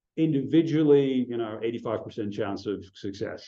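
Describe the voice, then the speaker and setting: A man speaks at a moderate pace with a medium pitch and a dark, mellow tone. His intonation is lively, and there is audible room echo. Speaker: astronomy researcher giving a talk. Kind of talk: conference talk. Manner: hesitant, many fillers.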